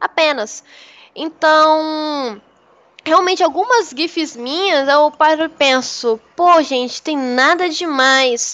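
Her tone is bright and sharp, with a high pitch. The woman speaks at a very slow pace. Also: ordinary pitch variation. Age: 20s. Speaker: streamer. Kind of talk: casual chat.

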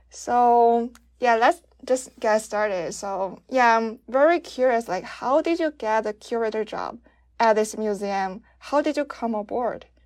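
With a Chinese accent, a woman speaks at a fairly high pitch and a fairly slow pace, her pitch varying in an ordinary way. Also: quiet background. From China. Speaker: podcast host. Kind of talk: interview.

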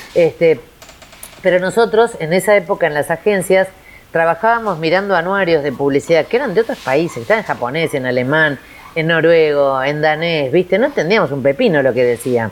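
This woman has a fairly low pitch and lively intonation. Her pace is fairly quick. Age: 50s. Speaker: creativity and innovation consultant. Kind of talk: interview. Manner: animated.

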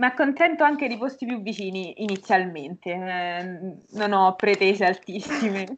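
A plain, everyday voice moves at a moderate pace with lively intonation and hardly any pauses. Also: woman, medium pitch for a woman. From Umbria, Norcia (province of Perugia). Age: 20s. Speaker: language teacher and university student. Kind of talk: casual interview chat.

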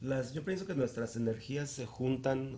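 A plain, everyday voice from a man, at a moderate pace with fairly even intonation. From Mexico City. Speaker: event organizer. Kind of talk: casual chat.

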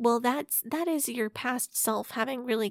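An ordinary speaking voice with an American accent talks at a moderate pace with ordinary pitch variation. The recording is very clean, with a silent background and a dry, close sound with no echo. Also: woman. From US Midwest, St. Louis area. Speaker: podcast guest, fellow podcaster. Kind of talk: casual chat.

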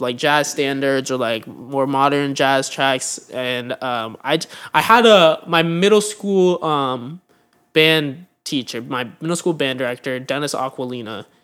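At a fairly slow pace, a man with an American accent speaks in a normal speaking voice, fairly high-pitched with ordinary pitch variation, on a very clean recording with a silent background. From US West Coast, San Francisco Bay Area. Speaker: college student and radio host, jazz drummer. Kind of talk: casual chat.

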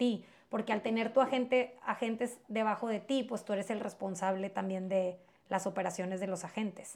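At a moderate pace, a woman of medium pitch talks with fairly even intonation in a plain, everyday voice. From Mexico-US border, Piedras Negras area. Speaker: real estate agent. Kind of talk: interview.

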